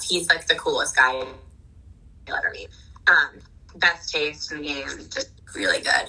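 A woman with an American accent speaks at a fairly slow pace. Noticeable background noise can be heard. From New Jersey. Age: 20s. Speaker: wardrobe stylist. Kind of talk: casual chat.

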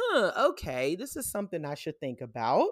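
Vocal fry runs through this woman's speech. She talks at a fairly quick pace in an American accent. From New York City. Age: 40s. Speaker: nonprofit founder and activist. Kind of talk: casual interview chat.

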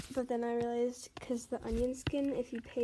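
A soft-spoken woman with a high pitch talks at a fairly quick pace over noticeable background noise. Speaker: podcast host doing art tutorials. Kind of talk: casual drawing walkthrough. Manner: soft-spoken, quiet; casual with fillers and hesitations.

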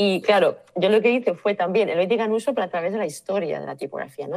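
Delivered at a fairly quick pace, a plain, everyday voice moves with ordinary pitch variation. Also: woman. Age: 50s. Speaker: type designer. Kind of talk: interview.

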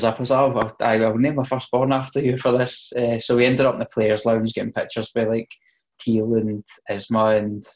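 A man with a Scottish accent, medium in pitch, at a fairly quick pace, with monotone, flat intonation and very even loudness. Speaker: podcast co-host. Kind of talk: casual, heavy swearing.

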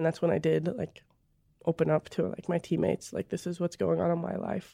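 The recording is very clean, with a silent background and a dry, close sound lacking echo. A woman speaks at a fairly quick pace. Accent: Midwestern American. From rural northern Missouri. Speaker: college basketball player. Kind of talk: interview testimony. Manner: casual, many fillers.

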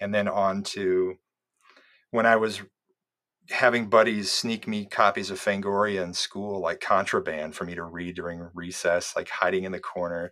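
The speaker has an American accent and a bright, sharp tone, with fairly even intonation but big swings in loudness. The recording is very clean, with a silent background. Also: man, fairly low pitch for a man, moderate pace. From US Midwest (Iowa). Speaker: documentary filmmaker and bonus-feature producer. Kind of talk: interview conversation.

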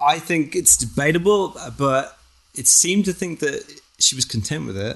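A man speaks in a plain, everyday voice. His fairly high pitch rises and falls with lively intonation. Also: moderate pace. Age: 40s. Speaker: artist and filmmaker. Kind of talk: casual chat.

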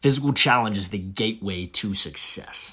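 With an unremarkable speaking voice pitched fairly low, a man is heard in a very clean recording against a silent background. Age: 30s. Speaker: podcast host and Marine infantry veteran. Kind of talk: solo monologue podcast.

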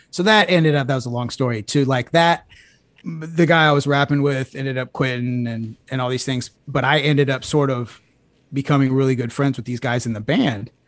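A plain, everyday voice with an American accent moves at a fairly quick pace with ordinary pitch variation. It is a very clean recording with a silent background. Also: man, medium pitch for a man. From Houston, Texas. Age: 40s. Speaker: podcast host. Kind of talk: casual chat. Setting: studio.

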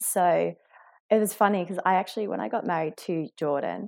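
In a very clean recording with a silent background, a woman with an Australian accent speaks fairly quickly in a fairly low voice with ordinary pitch variation. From rural Victoria, Australia. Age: 30s. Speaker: airline pilot. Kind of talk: interview conversation.

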